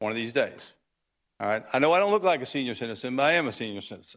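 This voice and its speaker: A man talks at a medium pitch. The recording is very clean and the background silent. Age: 60s. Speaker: cattle rancher speaking at public comment. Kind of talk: public comment at city council meeting. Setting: city council chamber. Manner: halting, many fillers.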